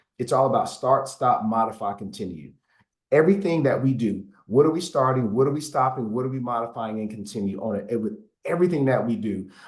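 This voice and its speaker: Speaking at a fairly quick pace, a man uses lively intonation at a medium pitch. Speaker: city administrator. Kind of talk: town hall Q&A answer. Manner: fast; halting, repeats words.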